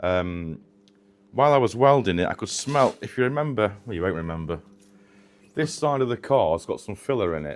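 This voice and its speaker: A man with a northern English accent and fairly low pitch speaks at a moderate pace, swinging his pitch very widely and taking long, frequent pauses. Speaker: car restoration vlogger. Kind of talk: casual workshop vlog.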